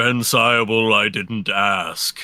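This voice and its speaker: A man speaks in a raspy, put-on character voice. His pitch sits fairly low. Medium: actual play. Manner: curt, stern.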